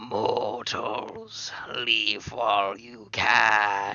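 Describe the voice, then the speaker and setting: A man puts on a character voice that is growling and raspy at a medium pitch. His intonation stays monotone and flat. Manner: warning, ominous.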